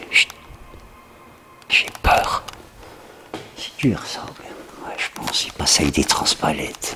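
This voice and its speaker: Over background music, a man whispers at a very slow pace, with long, frequent pauses and big swings in loudness. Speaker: urban explorer vlogger. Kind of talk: exploration vlog narration. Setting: indoors, abandoned factory. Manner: whispering.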